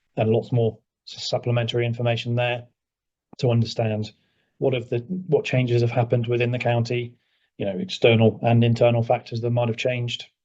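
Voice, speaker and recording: Somewhat breathy and delivered at a fairly quick pace, this voice with a British accent keeps a monotone, flat intonation. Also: man, medium pitch for a man. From England. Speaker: emergency services consultant. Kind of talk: presentation to council.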